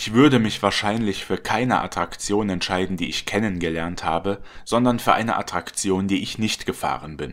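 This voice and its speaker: A normal speaking voice moves at a moderate pace with hardly any pauses and ordinary pitch variation. The recording is very clean, with a silent background. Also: man, fairly low pitch for a man. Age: 30s. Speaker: channel narrator and trained voice actor. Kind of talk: scripted narration. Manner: formal.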